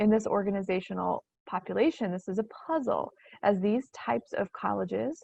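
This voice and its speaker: A woman with a medium-pitched voice speaks with vocal fry. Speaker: education researcher presenting webinar. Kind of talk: webinar lecture. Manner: halting, many fillers.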